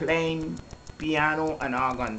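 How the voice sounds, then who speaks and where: Over noticeable background noise and audible room echo, a woman speaks very slowly in a very deep, low pitch with ordinary pitch variation. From Dominican Republic, sugarcane estate, of Saint Kitts parents. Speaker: church minister. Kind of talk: interview testimony. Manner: halting.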